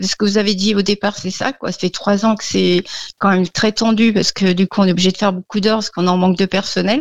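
Flat and monotone, a woman speaks at a very fast pace in a dry, close sound with no echo. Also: medium pitch for a woman. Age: 50s. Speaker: hairdresser, radio caller. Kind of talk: call-in consultation. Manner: hesitant.

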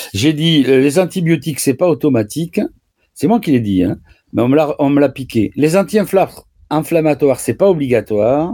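A man's fairly high-pitched voice has a dark, mellow tone and lively intonation. He keeps a moderate pace at very even loudness. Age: 70s. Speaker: doctor. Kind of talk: radio Q&A advice. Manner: halting, repetitive.

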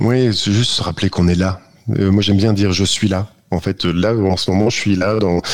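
A man talks at a fairly quick pace in a fairly low voice. His intonation stays monotone and flat. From northern France. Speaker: app co-founder. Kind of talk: radio interview.

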